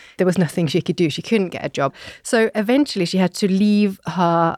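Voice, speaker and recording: With a British accent and lively intonation, a woman speaks at a fairly low pitch and moderate pace, sounding dry and close with no echo on a very clean recording with a silent background. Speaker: podcast host, historian. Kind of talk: casual chat and historical storytelling.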